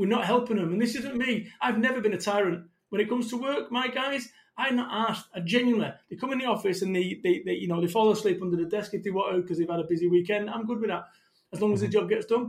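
The speaker uses a Mancunian accent and an animated tone. Delivery is very fast, with ordinary pitch variation. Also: man, high pitch for a man. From northern England, Salford, Manchester. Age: 40s. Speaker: motivational business speaker. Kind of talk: podcast interview.

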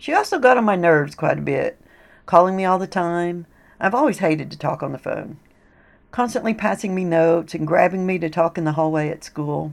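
A woman with a normal speaking voice talks at a fairly quick pace and fairly low pitch, using ordinary pitch variation, on a very clean recording with a silent background. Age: 50s. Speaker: podcast host, poetry museum founder. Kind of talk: scripted narration.

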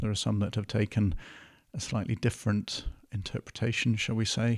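A man with an English accent at a fairly low pitch and fairly quick pace, fairly even intonation, on a very clean recording with a silent background. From northern England. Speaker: podcast host and producer. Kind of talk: casual chat.

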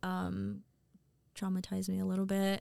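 Speaking at a moderate pace, a woman with an American accent is heard on a very clean recording with a silent background. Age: 30s. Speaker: hairstylist and salon owner. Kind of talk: casual chat.

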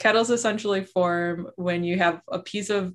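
A woman speaks in an Upper Midwest accent at a moderate pace. Her pitch is fairly low and her intonation fairly even. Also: very clean recording, silent background. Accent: Upper Midwest American. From southeastern Wisconsin. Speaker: glacial geologist. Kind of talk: interview.

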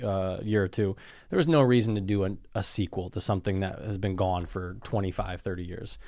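A man talks at a moderate pace. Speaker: movie review podcast co-host. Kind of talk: casual chat. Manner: soft-spoken.

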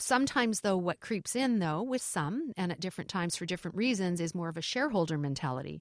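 A woman's fairly low-pitched, very fast speech in a Canadian accent, dry and close with no echo on a very clean recording with a silent background. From Canada. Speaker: airline culture executive. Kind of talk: interview.

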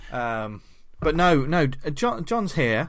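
Very slowly, a man talks in a British accent. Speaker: comics podcast host. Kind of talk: casual chat.

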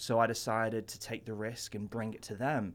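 A man's medium-pitched voice with an American accent. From Ventura, California. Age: 20s. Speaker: comic book shop owner. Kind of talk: radio interview.

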